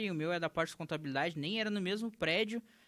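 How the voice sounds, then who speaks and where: In a very clean recording with a silent background, a man with a southern Brazilian accent speaks at a very fast pace with a bright, sharp tone, high pitch and ordinary pitch variation. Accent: southern Brazilian (gaúcho) Portuguese. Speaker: entrepreneur, legal marketing business owner. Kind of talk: interview conversation. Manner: casual, animated storytelling.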